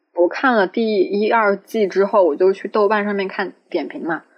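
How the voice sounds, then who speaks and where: A woman with an ordinary speaking voice talks at a fairly slow pace, with medium pitch and ordinary pitch variation. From Changsha, Hunan, China. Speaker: podcast co-host, student. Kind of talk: casual chat.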